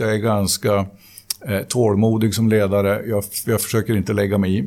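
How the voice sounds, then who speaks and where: A man's fairly low voice at a fairly quick pace. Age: 50s. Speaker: company CEO. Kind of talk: interview. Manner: halting.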